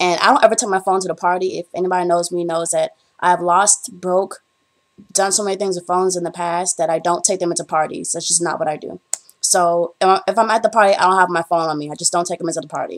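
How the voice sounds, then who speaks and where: Speaking at a very fast pace, a woman keeps a fairly low pitch and fairly even intonation. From Bahamas. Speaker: vlogger, college student. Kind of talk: casual vlog. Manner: tries not to speak fast.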